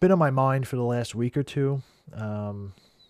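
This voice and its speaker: A man mumbles at a moderate pace in a dark, mellow tone, his pitch varying in an ordinary way. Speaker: coin collector. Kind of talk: casual talk to camera. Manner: rambly, mumbly.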